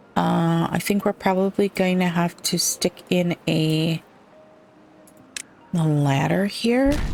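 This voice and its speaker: Very slow and marked by long, frequent pauses, a woman's calm, relaxed voice holds very even loudness, with a dry, close sound free of echo and noticeable background noise. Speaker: gaming streamer. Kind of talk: let's play commentary.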